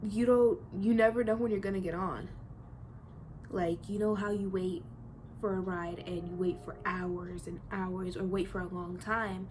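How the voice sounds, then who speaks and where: A woman's medium-pitched voice with fairly even intonation at a moderate pace, with audible room echo. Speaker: vlogger. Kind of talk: personal vlog confession. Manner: halting.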